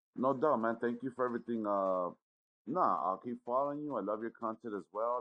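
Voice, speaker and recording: A man's unremarkable speaking voice with an American accent, medium pitch, ordinary pitch variation and a fairly quick pace. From Los Angeles. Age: 40s. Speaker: sports bettor. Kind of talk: casual chat.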